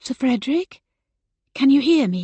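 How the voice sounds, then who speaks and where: A woman puts on a character voice, quiet and high-pitched with lively intonation. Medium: read story. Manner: quiet, hushed.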